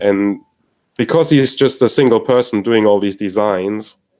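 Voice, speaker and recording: A man with a non-native accent speaks at a fairly slow pace in a fairly low pitch with a dark, mellow tone. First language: not English. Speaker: headphone enthusiast panelist. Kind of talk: casual chat. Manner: halting.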